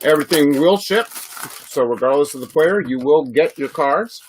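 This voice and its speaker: A man with a Chicago accent, at a moderate pace. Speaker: sports card breaker. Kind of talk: live stream card break. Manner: casual, filler-heavy.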